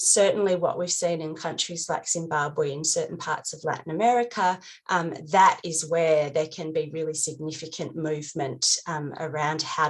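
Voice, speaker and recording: A woman with an Australian accent speaks in a very deep, low voice with hardly any pauses. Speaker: NGO advocate panelist. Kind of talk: panel discussion. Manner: hesitant, many fillers.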